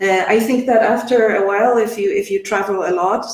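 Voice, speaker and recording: In a Polish accent, a woman speaks at a fairly slow pace with fairly even intonation. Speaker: English teacher, webinar host. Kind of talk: casual chat.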